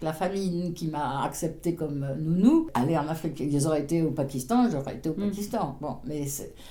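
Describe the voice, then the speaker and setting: A woman with a very deep, low pitch talks at a moderate pace, her pitch varying in an ordinary way. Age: 80s+. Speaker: retired podcast guest. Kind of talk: interview answer. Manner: humorous, passionate.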